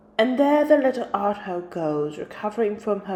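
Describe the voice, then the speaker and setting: Against noticeable background noise, a woman speaks at a medium pitch with lively intonation. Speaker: vlogger. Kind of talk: voice-over narration.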